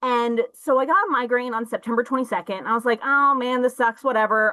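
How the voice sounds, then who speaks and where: Speaking very fast with a Midwestern US accent, a woman uses a bright, sharp tone at a fairly high pitch. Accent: US Midwest. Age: 30s. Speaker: art teacher sharing patient story. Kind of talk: personal testimony. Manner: casual, filler-heavy.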